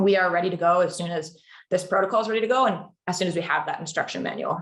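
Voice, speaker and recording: A woman talks at a very fast pace in a fairly low pitch. Her intonation stays monotone and flat. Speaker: carbon credit program specialist. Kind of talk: webinar presentation.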